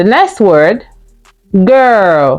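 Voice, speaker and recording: A woman speaks with very wide pitch swings over music in the background. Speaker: English phonics teacher. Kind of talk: classroom phonics lesson. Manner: clear, slow, instructive, with call-and-response prompts.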